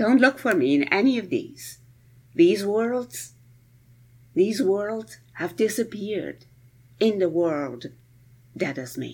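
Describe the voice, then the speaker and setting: A woman's very slow delivery with vocal fry, very wide pitch swings, and long, frequent pauses. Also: medium pitch for a woman, very clean recording, silent background. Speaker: professor of Persian presenting poetry. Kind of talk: lecture. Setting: home recording. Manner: unscripted, spontaneous.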